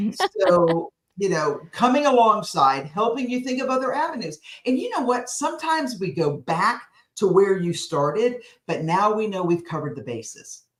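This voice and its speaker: A loud, energetic woman with an American accent, fairly high in pitch, with very wide pitch swings at a moderate pace. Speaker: speaking coach. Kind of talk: interview.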